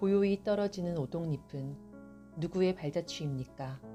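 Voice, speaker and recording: A calm tone at a fairly slow pace, lively in intonation, with music in the background. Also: woman. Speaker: poetry reader. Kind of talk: poetry reading. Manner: calm, soft-spoken.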